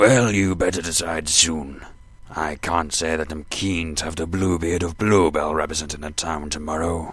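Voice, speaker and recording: Using a put-on character voice, a man speaks at a very deep, low pitch. His pace is moderate. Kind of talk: audio drama dialogue. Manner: pompous.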